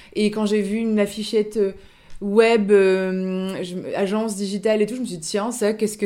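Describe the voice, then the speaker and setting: At a moderate pace, a woman speaks with a dark, mellow tone at a medium pitch and fairly even intonation. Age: 30s. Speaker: second-hand clothing shop owner. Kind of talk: interview. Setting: radio studio. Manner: hesitant, many fillers.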